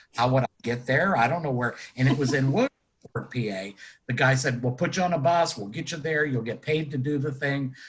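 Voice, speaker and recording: Speaking with an American accent, a man at medium pitch talks at a moderate pace with hardly any pauses, ordinary pitch variation and a somewhat breathy sound. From western Pennsylvania, Butler near Pittsburgh. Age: 60s. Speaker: retired color guard instructor and judge. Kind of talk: casual interview. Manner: halting, many fillers.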